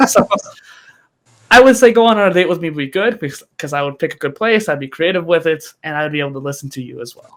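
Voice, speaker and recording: A man speaks in a high pitch at a very fast pace. His intonation is lively and his loudness swings widely. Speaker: podcast host and content creator, guest here. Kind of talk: casual interview chat.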